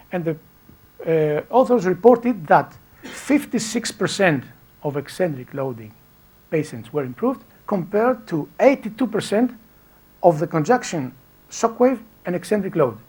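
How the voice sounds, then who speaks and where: At a high pitch, a man speaks at a moderate pace with very wide pitch swings. He leaves long, frequent pauses. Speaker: physiotherapist and researcher. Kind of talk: lecture. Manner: halting, self-correcting.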